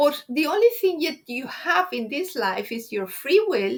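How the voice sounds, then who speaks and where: With a Spanish accent, a woman speaks high and fairly slowly, her pitch swinging very widely. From Spain. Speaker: Silva Method graduate. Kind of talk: interview.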